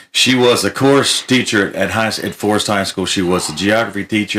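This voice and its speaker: An ordinary speaking voice from a man with an American accent, fairly low in pitch and fairly quick, with fairly even intonation on a very clean recording with a silent background. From Florida. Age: 60s. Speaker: country music artist. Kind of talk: casual chat.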